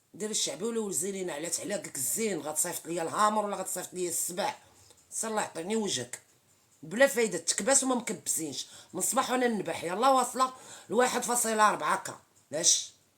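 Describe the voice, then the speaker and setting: At a moderate pace, a woman talks in an unremarkable speaking voice at a medium pitch. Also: lively intonation. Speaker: social media live streamer. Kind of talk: casual live-stream chat with viewers. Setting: TikTok live stream.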